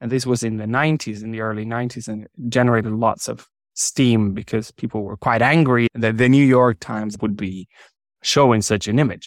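With a Spanish accent, a man speaks at a fairly quick pace and medium pitch with fairly even intonation, the sound dry and close with no echo in a very clean recording against a silent background. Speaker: sociologist and peace mediation expert. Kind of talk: interview.

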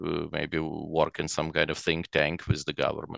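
Very deep and low, a man's voice comes through against a quiet background. The sound is dry and close, with no echo. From Ukraine (Chernivtsi), Soviet Union. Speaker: real estate investor. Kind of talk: interview. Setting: video call. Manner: halting.

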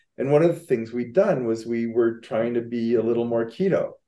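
A man speaks at a fairly quick pace and medium pitch. He has a plain, everyday voice. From Canada. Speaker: writer and rower, heart attack survivor. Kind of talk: casual interview.

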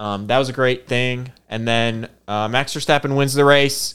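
Speaking at a fairly slow pace, a man with a slight Michigan accent holds a medium pitch. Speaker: podcast co-host. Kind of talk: casual chat.

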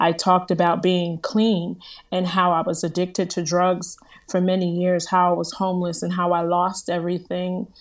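In a very clean recording with a silent background, a woman with an American accent speaks at a moderate pace in a fairly low, monotone voice with flat intonation. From US Northeast, New Jersey. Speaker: motivational speaker and former broadcaster. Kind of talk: interview testimony.

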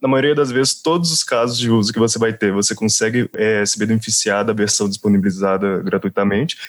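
An unremarkable speaking voice from a man at medium pitch, fairly quick and with hardly any pauses, with ordinary pitch variation and very even loudness. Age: 20s. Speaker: software developer. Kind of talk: casual tech podcast discussion.

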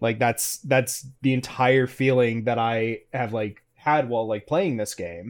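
With an American accent, a man speaks at a medium pitch with ordinary pitch variation and hardly any pauses, in an ordinary speaking voice. The recording is very clean, with a silent background. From US South. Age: 30s. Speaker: podcast host. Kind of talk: interview.

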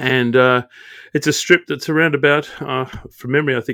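A man with an Australian accent, a bright, sharp tone and a fairly quick pace, on a very clean recording with a silent background. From Australia, Sydney. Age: 50s. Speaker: airline pilot. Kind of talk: interview.

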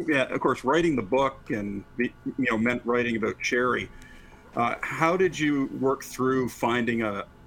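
Noticeable background noise can be heard. Over it, a man talks with ordinary pitch variation.

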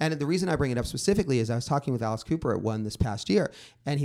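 With an American accent, a man talks at a very fast pace in a medium-pitched voice of dark, mellow tone and lively intonation, on a very clean recording with a silent background. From Los Angeles, San Fernando Valley. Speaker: music journalist. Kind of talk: casual chat.

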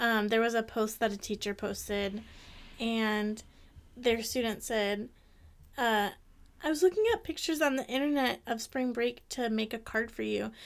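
A woman with an American accent speaks at a moderate pace in a fairly high voice, with ordinary pitch variation and long, frequent pauses. The recording is very clean, with a silent background. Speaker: podcast co-host. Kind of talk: casual chat.

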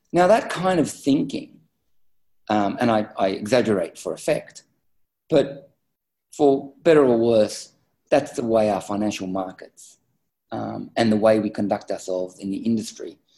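A man with an Australian accent talks at a moderate pace. He leaves long, frequent pauses. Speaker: business executive. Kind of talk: interview.

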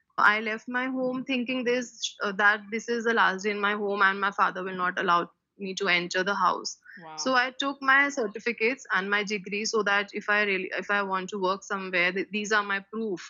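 A woman's medium-pitched voice with an Indian accent, ordinary pitch variation and a fairly quick pace. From India, Delhi. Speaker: school teacher. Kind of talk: personal testimony interview.

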